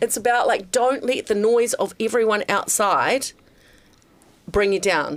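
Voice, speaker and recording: Speaking at a fairly slow pace with long, frequent pauses, a woman with a New Zealand accent has a fairly high pitch, ordinary pitch variation and very even loudness. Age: 50s. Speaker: former radio host turned podcaster. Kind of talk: casual interview chat.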